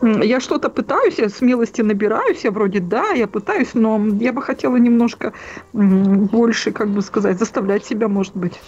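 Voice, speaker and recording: Noticeable background noise sits behind a woman with fairly high pitch. She talks at a moderate pace with ordinary pitch variation. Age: 40s. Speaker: caller. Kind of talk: phone-in conversation. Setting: phone call. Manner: halting.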